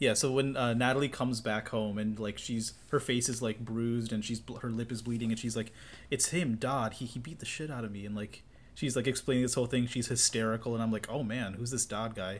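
This is an unremarkable speaking voice, delivered at a fairly quick pace with fairly even intonation. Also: man, medium pitch for a man. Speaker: podcast co-host. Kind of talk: casual chat.

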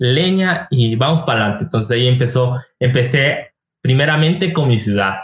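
A somewhat breathy man talks at a medium pitch. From Ecuador, Ibarra (Imbabura). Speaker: travel content creator. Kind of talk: casual interview chat.

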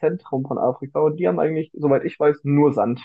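The man speaks very fast in a fairly high voice. His pitch rises and falls in an ordinary way. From Bavaria, Germany. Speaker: podcast co-host. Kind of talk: casual chat. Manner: animated, laughing often.

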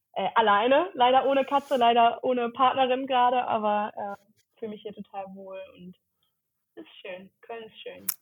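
A woman at a moderate pace, with big swings in loudness and ordinary pitch variation. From Cologne area, Germany. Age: 30s. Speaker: content creator, former social worker. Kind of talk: casual interview.

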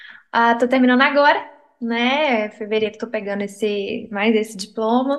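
At a moderate pace, a woman speaks in an ordinary speaking voice with a fairly high pitch. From interior of Minas Gerais, Brazil. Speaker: psychologist. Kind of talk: casual chat.

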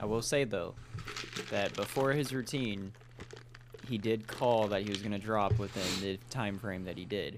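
Noticeable background noise sits behind a man with a fairly low pitch and fairly even intonation. He moves at a moderate pace, taking long, frequent pauses. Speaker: podcast co-host.

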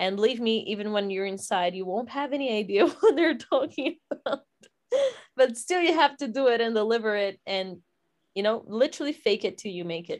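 This woman has a Portuguese accent. She talks at a fairly quick pace. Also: fairly high pitch for a woman, lively intonation, quiet background. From Brazil. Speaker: podcast co-host. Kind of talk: casual chat.

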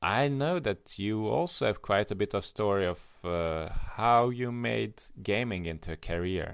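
In a very clean recording with a silent background, a man with a Hungarian accent speaks at a fairly slow pace with lively intonation. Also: fairly low pitch for a man. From Hungary. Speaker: podcast co-host. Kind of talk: casual chat. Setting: call. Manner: halting, with many fillers.

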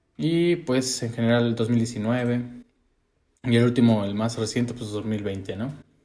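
Speaking at a very slow pace, a man with a dark, mellow tone is heard in audible room echo. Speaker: podcast co-host. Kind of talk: casual chat.

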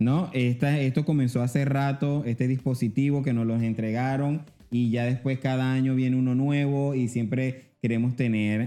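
A man speaks at a moderate pace with a medium pitch and ordinary pitch variation while music plays in the background. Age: 30s. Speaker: podcast host. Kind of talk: casual interview chat. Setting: studio.

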